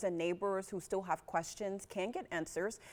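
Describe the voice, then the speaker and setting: A woman speaks at a moderate pace in an ordinary speaking voice. Her pitch sits in the medium range. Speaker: news anchor. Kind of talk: TV news read.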